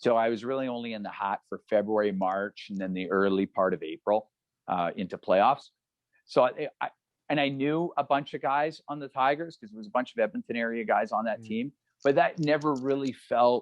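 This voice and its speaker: A man's normal speaking voice at medium pitch, fairly quick in pace, with lively intonation. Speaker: radio play-by-play broadcaster and former junior hockey goaltender. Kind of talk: interview answer, casual storytelling.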